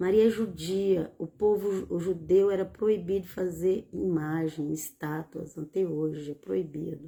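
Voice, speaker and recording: Her voice is fairly low, with a dark, mellow tone and fairly even intonation, and the woman hardly pauses at all. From Bahia, Brazil (rural), moved to São Paulo at 15. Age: 60s. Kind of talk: religious teaching livestream. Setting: live stream. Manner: informal, repetitive with hesitations.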